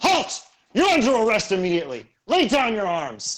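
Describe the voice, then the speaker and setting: A man's put-on character voice, high in pitch, with very wide pitch swings at a moderate pace. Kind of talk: official arrest proclamation. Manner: gruff, commanding.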